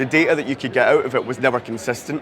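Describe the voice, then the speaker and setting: Through noticeable background noise, a man with a medium pitch talks at a very fast pace in a Scottish accent. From Scotland. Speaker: CRM and marketing technology lead. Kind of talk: conference talk.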